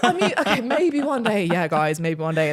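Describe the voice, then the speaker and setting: Over noticeable background noise, a woman with a British accent speaks in an animated tone with lively intonation. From England, countryside outside London. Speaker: travel vlogger. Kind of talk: casual chat.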